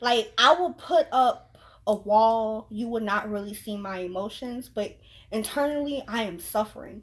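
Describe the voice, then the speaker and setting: The recording is very clean with a silent background. The speaker goes at a fairly slow pace with ordinary pitch variation and big swings in loudness. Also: woman, fairly high pitch for a woman. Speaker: YouTuber. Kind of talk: casual chat.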